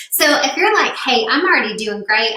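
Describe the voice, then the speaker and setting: With an animated tone, a woman in a Tennessee accent speaks amid audible room echo. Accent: Tennessee, slow. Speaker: business coach. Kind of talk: webinar presentation. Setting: live stream.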